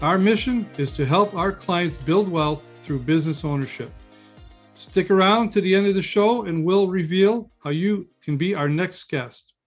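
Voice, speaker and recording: Music plays in the background as a man with a high pitch speaks at a moderate pace, his pitch varying in an ordinary way. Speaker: podcast host, business advisor. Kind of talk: podcast interview host.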